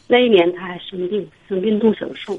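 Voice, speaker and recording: A woman talks at a moderate pace, with noticeable background noise present. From northern China. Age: 40s. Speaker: caller. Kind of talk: call-in advice talk. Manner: halting.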